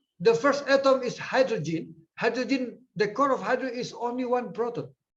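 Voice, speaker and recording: An extremely high-pitched man with an Indonesian accent at a moderate pace, with audible room echo. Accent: Indonesian English, taken for Filipino. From eastern Indonesia, Ambon. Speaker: physics professor, keynote speaker. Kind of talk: conference lecture.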